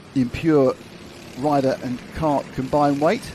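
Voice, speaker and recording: Noticeable background noise sits under a monotone, flat delivery. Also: man. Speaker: motorsport commentator. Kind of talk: live commentary.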